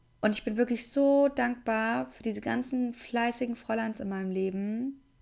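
A woman with a fairly high voice talks at a middling speed. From Germany, Aschaffenburg area (Lower Franconia). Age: 20s. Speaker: podcast host. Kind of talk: casual monologue, podcast intro.

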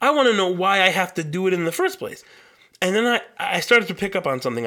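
A man projects a raised, bright and sharp voice at a high pitch, with lively intonation. He speaks at a very fast pace. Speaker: podcaster. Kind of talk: casual solo podcast monologue. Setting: home studio microphone. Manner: fast talker; casual, rambling, profane.

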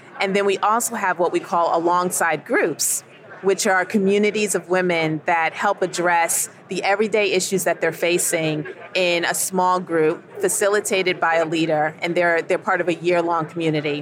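Noticeable background noise accompanies a woman speaking in an American accent. Her intonation is fairly even and her loudness very even. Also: fairly low pitch for a woman, moderate pace. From New York, Queens. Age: 50s. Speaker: ministry executive director. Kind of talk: radio interview. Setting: convention broadcast booth.

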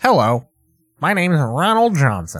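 A man puts on a character voice, fairly high in pitch with very wide pitch swings, at a moderate pace. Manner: nerdy, stiff.

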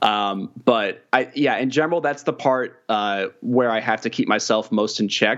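A man with a plain, everyday voice and an American accent, medium pitch, moderate pace. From Kansas City. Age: 20s. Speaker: video producer and journalist. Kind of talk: casual interview chat.

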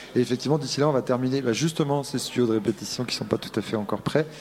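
A man's voice with ordinary pitch variation comes through noticeable background noise. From Brittany. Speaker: concert venue director. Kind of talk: interview. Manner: halting.

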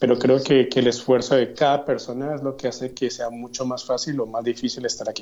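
The man's voice is at medium pitch with monotone, flat intonation. He talks at a fairly quick pace. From Colombia, Yopal, Casanare (llanos region). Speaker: graduate student. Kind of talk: interview.

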